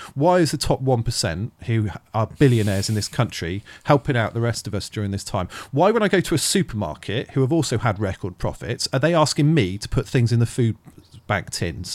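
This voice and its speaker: With lively intonation and a fairly quick pace, a man speaks in a very clean recording with a silent background. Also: medium pitch for a man. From Thornbury, South Gloucestershire, England. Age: 40s. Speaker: charity founder. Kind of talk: casual interview chat. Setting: with a dog nearby.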